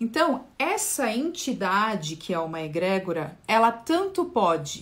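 Here a woman speaks at a fairly slow pace. Her voice sounds somewhat breathy. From Brazil. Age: 40s. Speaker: spiritual therapist. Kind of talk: livestream talk on esoteric topic. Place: home room. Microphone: phone near.

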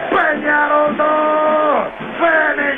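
A man shouting in an extremely high voice, with music in the background. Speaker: radio sports commentator.

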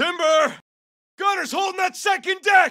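A man's put-on character voice, raised and shouting, at an extremely high pitch, bright and sharp in tone, with fairly even intonation, a fairly slow pace and a dry, close sound with no echo.

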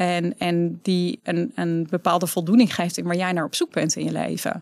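A woman with vocal fry, in a dry sound with no echo and a quiet background. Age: 30s. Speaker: entrepreneur, author and speaker; speaker. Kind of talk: casual interview. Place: studio. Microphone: studio mic.

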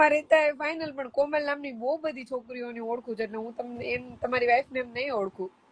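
A woman speaks at a high pitch. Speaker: live streamer. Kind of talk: casual chat.

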